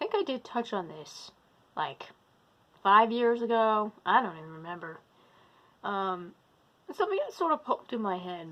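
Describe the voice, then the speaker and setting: A woman with a fairly high pitch and a bright, sharp tone speaks in very wide pitch swings and big swings in loudness, with long, frequent pauses. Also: moderate pace. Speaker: witch and druid. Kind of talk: casual talk to camera. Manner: rambling, tangential.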